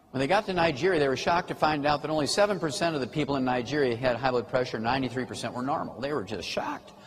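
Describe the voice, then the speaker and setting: A man talks at a very fast pace with hardly any pauses, in an animated tone with lively intonation. His pitch is fairly high, and background noise is noticeable. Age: 70s. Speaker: health lecturer. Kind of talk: lecture.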